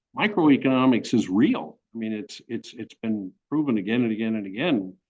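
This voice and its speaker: Delivered at a moderate pace, the voice uses ordinary pitch variation. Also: man. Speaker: honorary professor giving a webinar. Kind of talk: webinar Q&A with high school students. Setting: video call webinar from home. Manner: halting, many fillers and repetitions.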